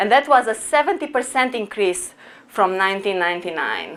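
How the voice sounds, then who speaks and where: A woman with a Romanian accent, medium in pitch. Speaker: professor. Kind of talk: lecture.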